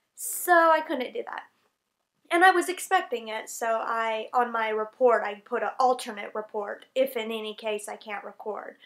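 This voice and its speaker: A woman with an American accent at a fairly high pitch, moderate pace and lively intonation, with big swings in loudness, on a very clean recording with a silent background. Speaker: English teacher in Japan, vlogger. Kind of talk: casual vlog talk to camera.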